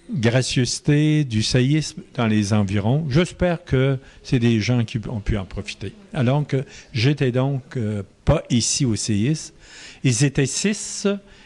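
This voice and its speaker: The delivery is very slow, with lively intonation throughout. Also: man, medium pitch for a man. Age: 70s. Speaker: Marianist missionary priest. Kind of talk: interview answer.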